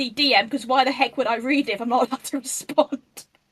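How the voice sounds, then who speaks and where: A high-pitched woman with an English accent talks at a very fast pace, the sound dry and close with no echo. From England. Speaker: online activist. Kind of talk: casual chat. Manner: animated.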